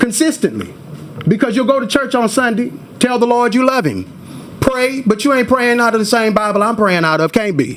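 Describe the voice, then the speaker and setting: Over noticeable background noise, a man with an extremely high pitch talks at a fairly quick pace in an animated tone, with very even loudness and ordinary pitch variation. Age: 40s. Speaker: activist. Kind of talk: testimony. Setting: legislative committee hearing.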